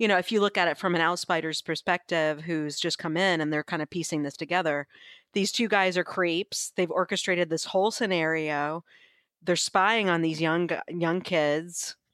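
A normal speaking voice uses fairly even intonation at a moderate pace. The recording is very clean, with a silent background and a dry, close sound free of echo. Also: woman, fairly low pitch for a woman. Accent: American. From US South. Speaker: librarian. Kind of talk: casual chat.

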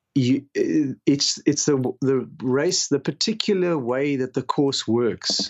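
This man's fairly high voice moves at a very slow pace with ordinary pitch variation. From South Africa. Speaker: paragliding instructor. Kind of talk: casual interview. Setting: remote call.

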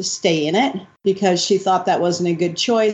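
With an American accent, a woman talks in an ordinary speaking voice at medium pitch, her intonation fairly even. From New York City, Upper West Side. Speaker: retired freestyle frisbee champion. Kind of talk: interview. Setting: call.

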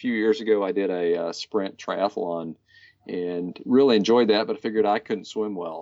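This man speaks at a fairly quick pace, keeping his intonation fairly even. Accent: US Midwestern. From Kansas, US. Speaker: bicycle commuter. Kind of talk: interview.

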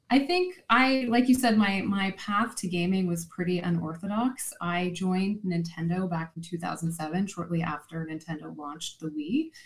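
A woman speaks at a moderate pace with hardly any pauses. Her somewhat breathy voice sits at medium pitch with ordinary pitch variation. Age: 40s. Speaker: marketing executive and children's author. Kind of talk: interview.

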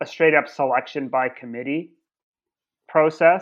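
Here a man with an unremarkable speaking voice talks at a fairly high pitch and a moderate pace. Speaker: podcast co-host. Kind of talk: casual chat.

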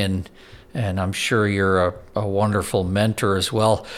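With a plain, everyday voice, a man speaks at a moderate pace, his fairly low pitch kept to fairly even intonation. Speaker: worship pastor, co-host. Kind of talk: casual conversation.

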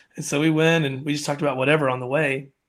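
Speech comes at a very fast pace with an American accent. The recording is very clean, with a silent background. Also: man. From Alabama, US South. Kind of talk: casual interview, personal testimony.

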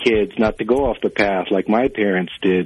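A man talks with an American accent in an unremarkable speaking voice. His pitch is fairly low, with ordinary pitch variation. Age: 30s. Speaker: magazine editor. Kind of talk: interview answers, then spoken-word poetry reading. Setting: phone call. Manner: measured, reflective; poem delivered in a slow, lyrical cadence.

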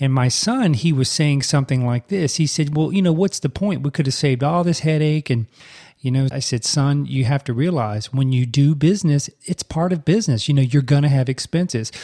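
A man with an American accent talks at a fairly quick pace in a fairly high pitch, with a dark, mellow, somewhat breathy tone. His loudness stays very even, and the sound is dry and close with no echo. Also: ordinary pitch variation. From US South. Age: 40s. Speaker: podcast host, speech-language pathologist. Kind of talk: casual solo podcast monologue.

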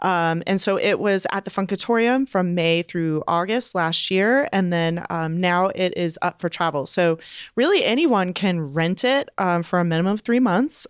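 In a very clean recording with a silent background, a woman with an unremarkable speaking voice talks at a moderate pace and medium pitch, her loudness very even and her pitch variation ordinary. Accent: American. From Raleigh, North Carolina. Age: 40s. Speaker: museum director. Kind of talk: casual chat.

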